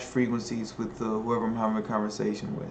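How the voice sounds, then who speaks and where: The man's tone is relaxed and his pitch sits in the medium range. Audible room echo and noticeable background noise come through. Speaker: video blogger. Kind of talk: casual monologue to camera.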